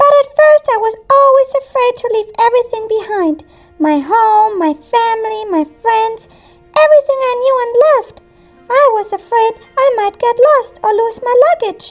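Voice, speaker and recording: A female-sounding cartoonish character voice, extremely high in pitch, at a moderate pace, with faint music in the background. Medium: puppet.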